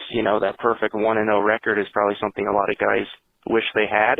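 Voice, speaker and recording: A man's fairly low, ordinary speaking voice at a fairly quick pace. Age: 20s. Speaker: caller. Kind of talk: testimony.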